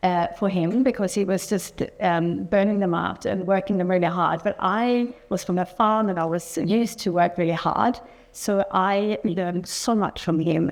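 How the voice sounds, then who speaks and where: With a Swedish accent, the speaker keeps a moderate pace, very even loudness and fairly even intonation. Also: woman, medium pitch for a woman. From Sweden. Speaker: entrepreneur. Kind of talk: interview on stage.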